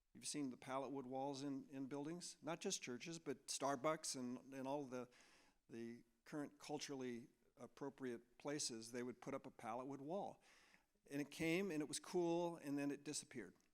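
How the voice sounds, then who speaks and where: A man with a normal speaking voice, fairly high in pitch, with an American accent, a moderate pace and ordinary pitch variation. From US Midwest, Chicago area. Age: 60s. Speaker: architect. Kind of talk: presentation to an audience.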